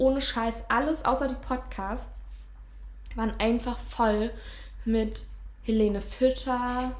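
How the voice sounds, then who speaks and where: Speaking at a very slow pace, a woman is heard with audible room echo around her. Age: 20s. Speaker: podcast host, trainee physiotherapist. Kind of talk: casual chat. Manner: halting.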